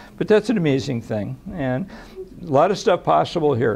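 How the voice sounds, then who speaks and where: A man's fairly high-pitched voice with vocal fry, in an American accent. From Los Angeles, US. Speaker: psychologist. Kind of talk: public lecture. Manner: soft-spoken; halting.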